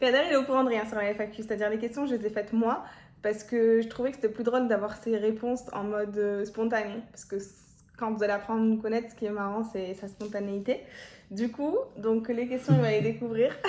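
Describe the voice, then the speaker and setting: Fairly high in pitch, a woman speaks in an ordinary speaking voice at a fairly quick pace with fairly even intonation. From Marseille, southern France. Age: 20s. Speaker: YouTuber. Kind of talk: casual chat.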